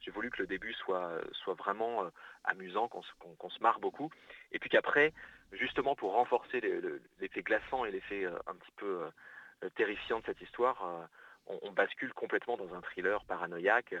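A man speaks at a moderate pace. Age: 30s. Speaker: novelist. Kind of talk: interview. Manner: halting.

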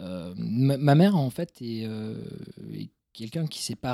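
On a very clean recording with a silent background, a man with a Toulouse accent talks at a medium pitch. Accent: southern French, Toulouse. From Toulouse suburbs, southwest France. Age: 30s. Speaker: career guidance coach and entrepreneur. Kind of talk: casual interview. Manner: halting, many repetitions.

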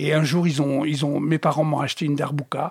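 Here a man talks at a moderate pace in a fairly high pitch. He has an ordinary speaking voice. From Tunisia. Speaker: jazz drummer. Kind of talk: interview.

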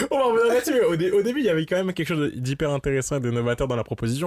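On a very clean recording with a silent background and a dry, close sound with no echo, a man talks at a very fast pace with lively intonation. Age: 20s. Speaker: campus radio co-host. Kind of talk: casual chat.

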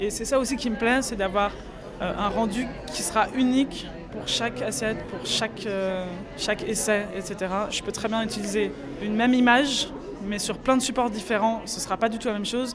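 A woman with a fairly high pitch speaks with long, frequent pauses, with audible room echo and noticeable background noise. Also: fairly even intonation, moderate pace. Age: 30s. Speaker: photographer. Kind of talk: interview.

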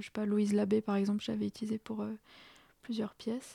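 This woman's voice is fairly high with a dark, mellow tone. The recording is very clean, dry and close, with a silent background and no echo. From France, Strasbourg. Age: young. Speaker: composer. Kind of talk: radio interview.

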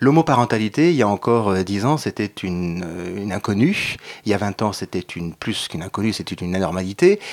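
Speaking at a fairly quick pace, a man with a fairly low voice uses lively intonation in a dry, close recording with no echo. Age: 50s. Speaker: LGBT parents association co-president. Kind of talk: radio panel discussion. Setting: radio studio. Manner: hesitant, many fillers.

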